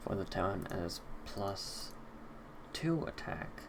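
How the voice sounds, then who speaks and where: With noticeable background noise and audible room echo, a man talks with very wide pitch swings. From US Northeast, Boston. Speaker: esports caster. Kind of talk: live commentary. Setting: live stream.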